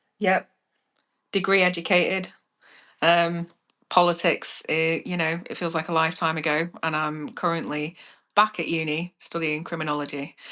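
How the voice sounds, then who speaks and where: Woman with an English accent, fairly low in pitch with a bright, sharp tone, monotone, flat intonation, a moderate pace and long, frequent pauses, against a quiet background. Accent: posh English, private-school. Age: 30s. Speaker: criminology student, former prisoner guest. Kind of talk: casual live chat. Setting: live stream.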